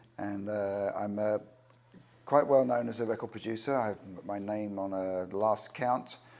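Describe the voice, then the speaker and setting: A man's fairly low, dark, mellow voice in an English accent, monotone and flat in intonation, at a fairly slow pace. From England. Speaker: record producer and singer-songwriter. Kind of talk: interview.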